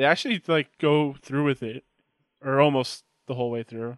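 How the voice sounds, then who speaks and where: Heard against a quiet background, an ordinary speaking voice moves at a moderate pace with ordinary pitch variation and a dry, close sound with no echo. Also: man. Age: 20s. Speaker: podcast co-host, editor-in-chief. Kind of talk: casual chat.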